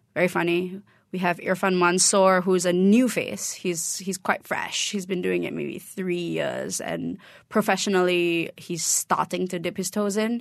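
Against a quiet background, a woman with a Malaysian accent speaks at a fairly slow pace in a medium pitch, her intonation monotone and flat. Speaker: stand-up comedian. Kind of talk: casual interview. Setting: studio.

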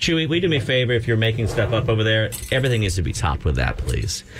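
Noticeable background noise sits behind a man talking at a very fast pace in a fairly low pitch. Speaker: radio show co-host. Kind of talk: casual morning radio banter. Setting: studio.

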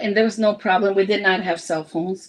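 With a medium pitch, the woman's voice varies in an ordinary way. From Puerto Rico and Hartford, Connecticut. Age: 50s. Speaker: mother telling her life story. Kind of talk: family interview.

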